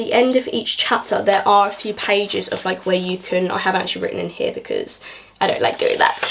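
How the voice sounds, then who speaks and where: Over noticeable background noise, a woman talks very fast. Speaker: book YouTuber. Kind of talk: casual vlog book review.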